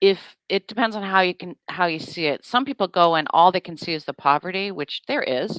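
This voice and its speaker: A woman's unremarkable speaking voice, medium in pitch, fairly quick with lively intonation and big swings in loudness, in a dry, close sound with no echo. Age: 60s. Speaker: actress. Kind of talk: casual chat.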